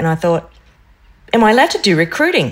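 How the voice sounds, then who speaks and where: A woman speaks with an Australian accent. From Queensland, Australia (North Stradbroke Island). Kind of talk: interview.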